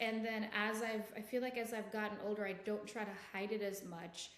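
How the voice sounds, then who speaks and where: A woman's fairly high voice with a slight Jamaican accent, with audible room echo and noticeable background noise. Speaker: podcast co-host. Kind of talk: casual chat.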